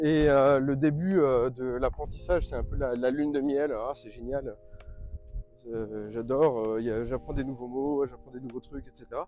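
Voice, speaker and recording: Over noticeable background noise, a man at medium pitch speaks at a moderate pace with fairly even intonation and big swings in loudness. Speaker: language-learning youtuber. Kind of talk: casual vlog. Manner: hesitant, many fillers.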